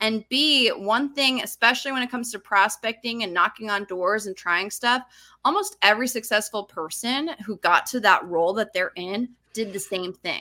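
With an American accent, a woman speaks in an animated, bright, sharp tone at a fairly high pitch. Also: ordinary pitch variation, moderate pace. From Utah. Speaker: sales strategist. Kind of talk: interview conversation.

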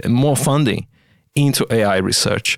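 A man with a non-native accent talks at a moderate pace. The recording is very clean, dry and close, with a silent background and no echo. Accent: foreign-accented English. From outside Australia. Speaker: AI scientist. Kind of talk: interview conversation. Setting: studio.

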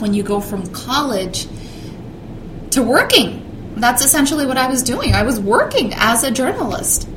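Speaking at a moderate pace with an American accent, a woman uses a high pitch with ordinary pitch variation, amid noticeable background noise and audible room echo. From Southern California, partly Mexico. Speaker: TV news reporter. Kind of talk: interview.

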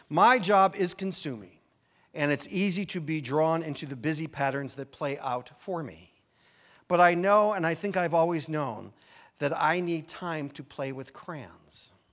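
The man has an ordinary speaking voice with an American accent and ordinary pitch variation, talking at a fairly slow pace. His loudness swings widely, and the recording is very clean with a silent background. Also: fairly high pitch for a man. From US Midwest, Chicago area. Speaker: minister. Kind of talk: sermon.

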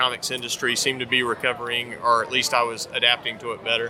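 This man has an American accent and a medium pitch, talking at a fairly quick pace. Noticeable background noise runs under his voice. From US South, North Carolina. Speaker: comics writer and artist. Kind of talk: interview. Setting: comic convention.

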